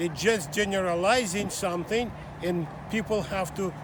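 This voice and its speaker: Noticeable background noise surrounds a man with a Russian accent and a high pitch. He speaks at a fairly slow pace with ordinary pitch variation. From Russia (Soviet Union). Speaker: small business owner, immigrant. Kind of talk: street interview. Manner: halting.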